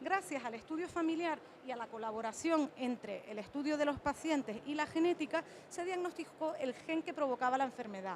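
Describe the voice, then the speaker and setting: The speaker has a Canarian accent and lively intonation. The pace is fairly quick. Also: woman, high pitch for a woman. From Canary Islands, Spain. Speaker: cardiologist. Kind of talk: conference talk.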